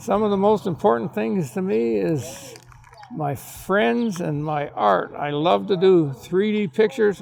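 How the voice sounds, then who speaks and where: With very wide pitch swings and a fairly slow pace, a man talks through noticeable background noise. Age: 80s+. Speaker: family elder at reunion. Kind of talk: personal testimony.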